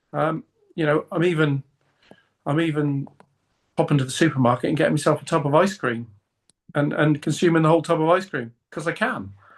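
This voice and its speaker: A man with a British accent speaks at a fairly quick pace, with long, frequent pauses. His voice is fairly high, with ordinary pitch variation. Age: 50s. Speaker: fitness coaching client. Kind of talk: interview.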